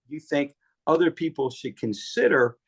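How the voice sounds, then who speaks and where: A man with a fairly high pitch uses a normal speaking voice at a moderate pace, recorded dry and close with no echo. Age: 60s. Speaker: author and fitness advocate. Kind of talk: casual chat.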